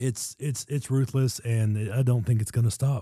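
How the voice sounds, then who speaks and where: Somewhat breathy man of medium pitch with a dark, mellow tone, at a moderate pace, on a very clean recording with a silent background. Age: 30s. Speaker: podcast co-host. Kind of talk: casual chat. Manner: animated.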